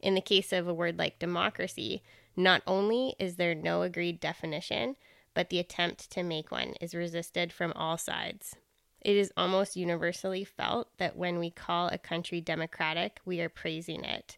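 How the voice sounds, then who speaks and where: At a moderate pace, a woman talks in an ordinary speaking voice with a fairly low pitch, on a very clean recording with a silent background. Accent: Canadian. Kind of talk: casual chat.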